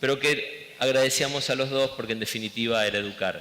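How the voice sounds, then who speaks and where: With an Argentine accent, a man speaks fairly slowly at a medium pitch over noticeable background noise. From Argentina. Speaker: education director. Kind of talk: interview.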